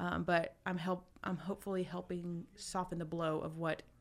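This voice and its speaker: A woman with an American accent speaks in a plain, everyday voice at a fairly low pitch with fairly even intonation. The recording is very clean, with a silent background. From US South, Douglasville, Georgia. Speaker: college counselor. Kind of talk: radio interview. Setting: radio studio.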